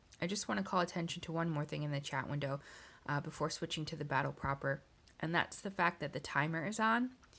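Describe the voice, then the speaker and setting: The speaker has a plain, everyday voice and a fairly quick pace. It is a very clean recording with a silent background. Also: woman. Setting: screen recording voiceover.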